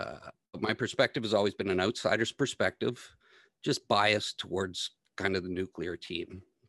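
In a quiet background, a man with a Canadian accent speaks at a moderate pace in an ordinary speaking voice, with ordinary pitch variation and a dry, close sound with no echo. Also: fairly low pitch for a man. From Ontario, Canada. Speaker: energy policy blogger and data analyst. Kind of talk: interview.

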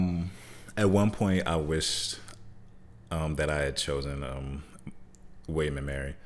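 With an American accent and a very deep, low pitch, a man speaks at a fairly slow pace with long, frequent pauses and ordinary pitch variation, amid audible room echo and noticeable background noise. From Michigan, then Hampton, Virginia from age 15. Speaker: former basketball player and artist. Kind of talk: casual interview.

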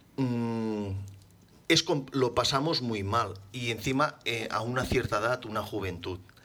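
Delivered at a fairly slow pace, the voice has a bright, sharp tone and ordinary pitch variation. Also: man, medium pitch for a man. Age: 40s. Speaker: motorcycle accident survivor. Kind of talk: interview.

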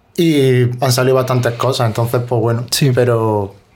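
A man's medium-pitched voice at a moderate pace, with fairly even intonation over noticeable background noise. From Spain, Granada. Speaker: musician and producer. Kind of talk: casual chat.

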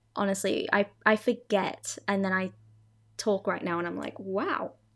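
The speaker has an Australian accent and an animated, bright, sharp tone. The recording is very clean with a silent background. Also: woman. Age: 20s. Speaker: podcast host. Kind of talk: casual storytelling monologue.

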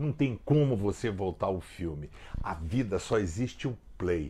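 Dark and mellow in tone and somewhat breathy, the voice moves at a moderate pace through very wide pitch swings in a very clean recording with a silent background. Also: man. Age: old. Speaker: pastor. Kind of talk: short devotional video message. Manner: conversational.

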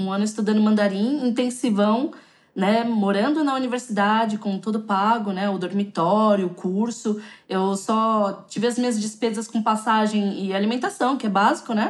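A woman with a plain, everyday voice speaks at a fairly high pitch and a moderate pace, keeping her intonation fairly even. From São Paulo, Brazil (south zone). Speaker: Brazilian expat in China, YouTuber. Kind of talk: podcast interview. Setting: remote call.

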